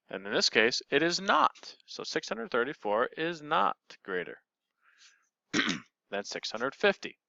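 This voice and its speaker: Vocal fry runs through a man's fairly high voice, which swings very widely in pitch around long, frequent pauses. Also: moderate pace. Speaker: math teacher. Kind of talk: tutorial.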